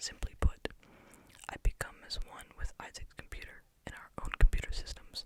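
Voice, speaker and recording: Someone whispers at a moderate pace. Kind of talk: read story. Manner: whispered.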